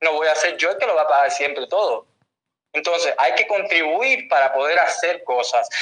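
Here a man talks in a high pitch with a bright, sharp tone. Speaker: summit organizer, activist. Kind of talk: heated debate.

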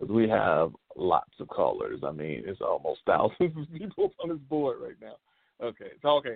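Big swings in loudness from a male speaker, his pace moderate. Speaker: radio host. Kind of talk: casual chat. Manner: animated.

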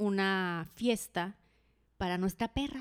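With a northwestern Mexican accent, a woman talks at a medium pitch with lively intonation on a very clean recording with a silent background. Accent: northwestern Mexican (Sinaloa) Spanish. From Los Mochis, Sinaloa, Mexico. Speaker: podcast co-host. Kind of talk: casual chat.

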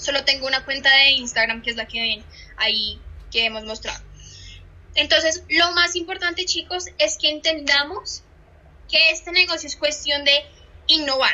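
A woman's raised, projected voice at a high pitch, with ordinary pitch variation, a fairly slow pace and noticeable background noise. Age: 20s. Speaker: social media trainer. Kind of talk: online training session. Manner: animated.

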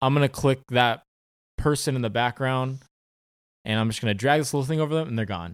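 A man with a medium pitch talks at a fairly quick pace and ordinary pitch variation. He leaves long, frequent pauses. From Southern California, Orange County. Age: 20s. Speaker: actor. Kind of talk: casual chat.

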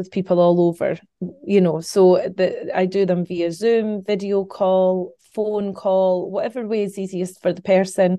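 A woman's dark, mellow voice at medium pitch, in a Scottish accent, at a fairly slow pace with fairly even intonation and a quiet background. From Scotland. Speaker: psychic medium. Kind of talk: interview conversation.

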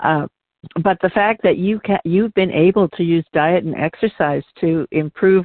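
With an ordinary speaking voice, a woman speaks at a moderate pace, her fairly low pitch showing ordinary pitch variation. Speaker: radio host. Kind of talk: radio interview.

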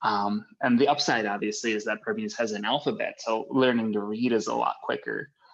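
A man with an American accent talks at a fairly quick pace. He hardly pauses at all. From US Midwest, St. Louis. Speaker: graduate student researcher. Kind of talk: casual interview chat.

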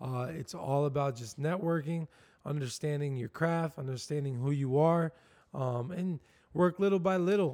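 A man with an American accent speaks at a moderate pace, at a fairly high pitch with ordinary pitch variation. It is an ordinary speaking voice, recorded very cleanly over a silent background. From Southwest Florida. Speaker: barber and shop owner. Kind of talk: casual chat.

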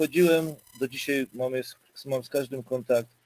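At a moderate pace and medium pitch, a man talks in an ordinary speaking voice, the sound dry and close with no echo. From Silesia, Poland. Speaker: goalkeeper coach. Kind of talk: casual interview chat.

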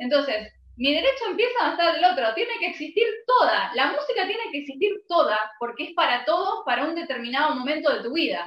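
A woman talks fairly quickly in an Argentine accent. Her pitch is extremely high and swings very widely. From Argentina. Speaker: music podcaster. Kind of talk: casual chat.

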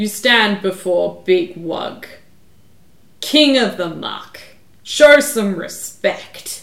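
A woman puts on a character voice at a medium pitch. She speaks very slowly, with long, frequent pauses. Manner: imperious, demanding.

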